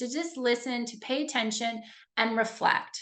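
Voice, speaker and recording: A woman with a Canadian accent at a moderate pace. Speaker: leadership coach. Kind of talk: webinar presentation. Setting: video call. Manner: informal, upbeat.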